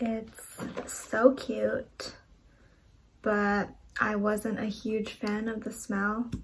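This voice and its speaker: In a very slow, monotone, flat delivery full of long, frequent pauses, a woman with a fairly high, somewhat breathy voice speaks over light background noise. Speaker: book vlogger. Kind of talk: casual vlog chat. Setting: outdoors in garden. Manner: slow talker with pauses. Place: home room. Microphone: phone near.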